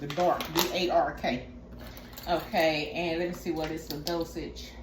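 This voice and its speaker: A woman talks at a fairly slow pace. Noticeable background noise and audible room echo fill the recording. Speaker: wellness vlogger. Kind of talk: tutorial. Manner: casual, chatty.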